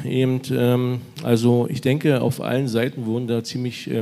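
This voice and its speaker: The man's tone is dark and mellow, with fairly even intonation. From eastern Germany, Lusatia (Weißwasser). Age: 50s. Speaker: mayor. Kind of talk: live podcast interview. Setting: stage with live audience.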